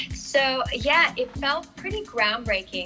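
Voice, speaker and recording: Clear music sounds in the background. Over it, a woman talks. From Australia. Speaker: actress. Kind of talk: interview answer. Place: home room.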